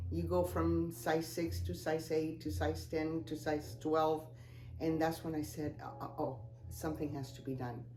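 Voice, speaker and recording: Speaking at a moderate pace with an audible room echo, a woman with a Spanish accent uses a very deep, low pitch and very wide pitch swings. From Cuba. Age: 70s. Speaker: customer giving a testimonial. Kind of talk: testimony. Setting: office. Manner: hesitant, many fillers.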